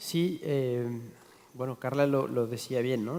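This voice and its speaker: A man talks at a moderate pace with a medium pitch. Noticeable background noise runs under his voice. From Mexico City. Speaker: chef and restaurateur. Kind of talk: panel talk.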